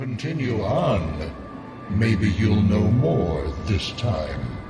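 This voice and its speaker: With clear echo and clear background noise, a man speaks in a put-on character voice, fairly low and at a very slow pace. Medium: game stream. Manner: calm, cryptic.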